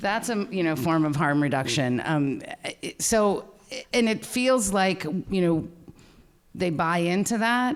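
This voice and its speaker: A woman speaks loudly at a medium pitch and fairly slow pace, with very wide pitch swings and long, frequent pauses. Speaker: school-based counselor. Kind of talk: workshop discussion. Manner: halting.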